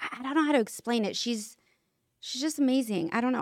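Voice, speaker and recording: Her American accent comes through at a very fast pace. The woman speaks in a high pitch with lively intonation. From California. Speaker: makeup artist. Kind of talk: casual chat. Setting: studio with audience. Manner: reserved.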